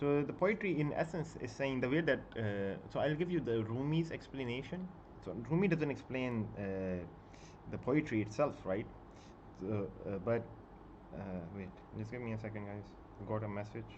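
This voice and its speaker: With lively intonation and long, frequent pauses, a medium-pitched man speaks amid audible room echo. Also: moderate pace. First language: Punjabi and Urdu. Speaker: book YouTuber. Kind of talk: casual live stream chat. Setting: live stream at home. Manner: halting, many fillers.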